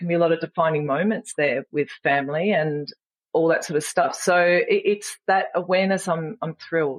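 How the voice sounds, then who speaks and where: This woman speaks with an Australian accent. Her pitch is fairly low. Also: ordinary pitch variation, moderate pace. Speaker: empowerment coach and speaker. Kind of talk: podcast interview answer. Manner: frank and funny.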